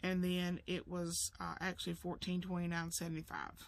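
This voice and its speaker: A woman speaks with an Alabama accent at a moderate pace. The sound is dry, with no echo. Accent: Southern US (Alabama). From US South. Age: 50s. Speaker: home sewing business owner and budgeting vlogger; budget vlogger. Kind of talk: casual vlog monologue; casual vlog chat. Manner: halting, many fillers. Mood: calm, reflective. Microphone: camera far.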